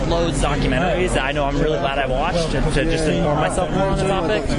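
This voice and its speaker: Loud background noise fills the clip. Over it, a man speaks very fast. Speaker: street outreach interviewer. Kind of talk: interview conversation. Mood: friendly, encouraging. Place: street.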